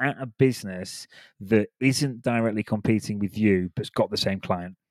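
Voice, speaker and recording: A man's fairly low voice with a British accent, ordinary pitch variation and a moderate pace, in a dry, close recording with no echo and a silent background. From United Kingdom. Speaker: podcast host, recruiter. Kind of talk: casual interview chat.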